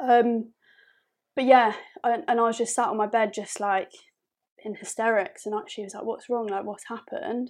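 With a southern English accent, a woman speaks at a moderate pace in a fairly high pitch, with big swings in loudness and long, frequent pauses, on a very clean recording with a silent background. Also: ordinary pitch variation. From southern England. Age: 20s. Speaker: podcast guest. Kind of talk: casual chat.

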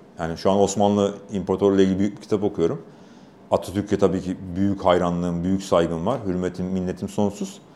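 A man talks at a very fast pace in a very deep, low voice. His tone is dark and mellow, with monotone, flat intonation. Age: 40s. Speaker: motorsport official and race commentator. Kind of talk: casual interview. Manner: talkative.

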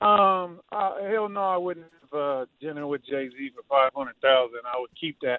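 The intonation is lively, with an American accent, at a moderate pace. It is an unremarkable speaking voice. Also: man, fairly high pitch for a man. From Georgia, US. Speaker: caller. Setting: phone call.

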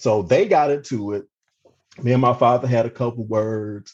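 The man's voice is medium in pitch and somewhat breathy, delivered at a moderate pace. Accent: American. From Cleveland, Ohio. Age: 40s. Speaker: police officer. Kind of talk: interview storytelling.

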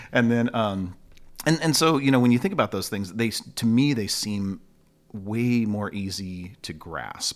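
This man has a Californian accent and a fairly low pitch. He talks at a fairly slow pace with ordinary pitch variation, on a very clean recording with a silent background. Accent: Californian American English. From Long Beach, California. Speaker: musician and former teacher. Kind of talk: casual interview chat.

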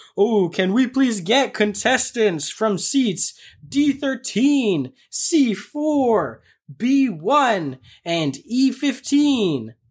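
A female-sounding voice, put on as a character, speaks very slowly at a fairly high pitch on a very clean recording with a silent background.

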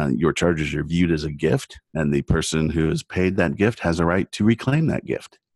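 A man's very deep, low voice with a Californian accent, ordinary pitch variation, a fairly quick pace, and a dry, close sound with no echo. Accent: Californian American. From US West Coast, San Diego. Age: 50s. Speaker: internet lawyer. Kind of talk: interview conversation.

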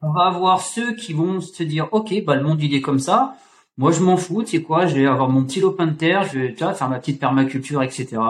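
A man with a normal speaking voice, fairly high in pitch, at a fairly quick pace with lively intonation. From France, Auvergne. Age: 30s. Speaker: fitness coach. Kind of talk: casual chat. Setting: video call.

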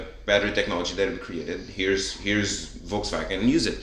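A man talks at a fairly quick pace in a Portuguese accent. Noticeable background noise and audible room echo surround him. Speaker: podcast host. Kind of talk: casual chat.

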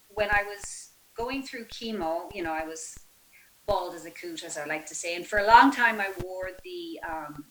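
A woman with an American accent speaks at a moderate pace in a medium pitch with lively intonation, against noticeable background noise. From Ireland, Galway. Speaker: physical therapist assistant and breast cancer survivor. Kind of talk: interview conversation.

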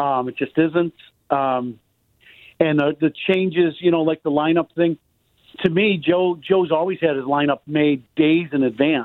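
A man with an American accent speaks in a plain, everyday voice at a fairly high pitch. His pace is moderate and his intonation fairly even. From Chicago. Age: 50s. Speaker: former baseball player and radio broadcaster. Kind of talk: casual chat.

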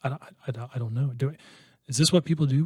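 Somewhat breathy, a man talks at a very fast pace with a Midwestern American accent. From southwest Iowa. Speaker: sales manager and real estate investor. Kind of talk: casual interview.

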